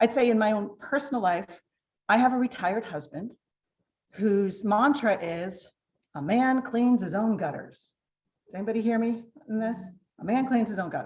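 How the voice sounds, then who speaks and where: A woman with a somewhat breathy, fairly high voice speaks at a moderate pace, with ordinary pitch variation and long, frequent pauses. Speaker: downsizing consultant. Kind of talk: presentation. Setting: stage with audience. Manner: soft-spoken.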